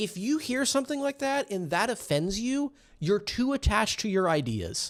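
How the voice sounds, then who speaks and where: The pitch swings very widely at a moderate pace. The recording is very clean, with a silent background. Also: man. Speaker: commentary youtuber. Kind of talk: casual commentary monologue. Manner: animated, at times yelling; casual with filler words.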